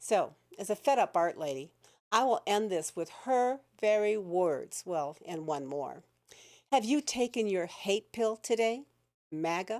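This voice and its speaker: The voice sounds animated, with very wide pitch swings. The pace is fairly slow. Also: woman, medium pitch for a woman, very clean recording, silent background. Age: 70s. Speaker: retired art teacher and video blogger. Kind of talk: political rant monologue.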